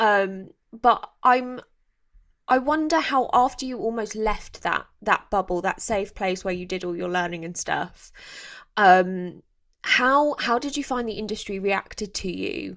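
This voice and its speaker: At a fairly slow pace, a woman with a plain, everyday voice and a fairly high pitch uses lively intonation, on a very clean recording with a silent background. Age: 30s. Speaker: podcast host. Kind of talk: casual interview chat.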